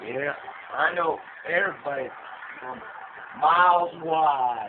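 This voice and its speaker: Against noticeable background noise, a man speaks loudly. His pace is fairly slow and his pitch variation ordinary. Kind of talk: rowdy boasting banter. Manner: drunk, loud boastful slur. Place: home room. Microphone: phone near.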